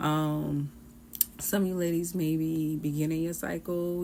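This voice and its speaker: Dark, mellow tone from a woman with very deep, low pitch, a moderate pace and fairly even intonation. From US South, Charleston, South Carolina. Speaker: tarot reader. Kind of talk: tarot reading. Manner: casual, chatty.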